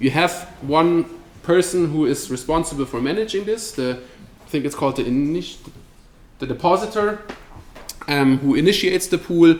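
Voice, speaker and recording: Pausing long and often, a man speaks at a high pitch over noticeable background noise. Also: ordinary pitch variation. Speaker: crypto company representative giving a talk. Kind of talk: meetup presentation with Q&A. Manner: fast; casual, with many fillers and repetitions.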